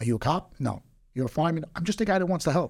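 This man has a New York accent and a fairly high pitch. The recording is very clean, with a silent background. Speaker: entrepreneur. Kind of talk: casual chat.

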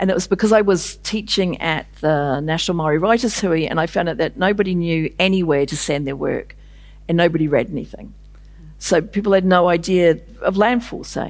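Talking at a fairly quick pace with a New Zealand accent, a woman keeps a fairly low pitch and ordinary pitch variation. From New Zealand, Māori from north of Auckland. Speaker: novelist. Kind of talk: festival interview on stage. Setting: stage with audience.

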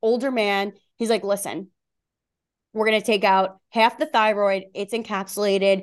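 A woman speaks with a Long Island accent against a quiet background. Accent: New York (Long Island). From Long Island, New York. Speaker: wellness coach and author. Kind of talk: casual interview conversation.

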